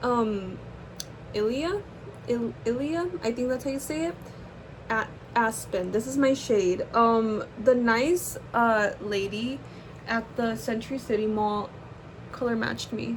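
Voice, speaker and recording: At a fairly slow pace with long, frequent pauses, a woman speaks at a fairly high pitch. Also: ordinary pitch variation. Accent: Californian. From US West Coast, Los Angeles. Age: 20s. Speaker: YouTuber, art student. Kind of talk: casual chat while doing makeup. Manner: casual, rambling with fillers.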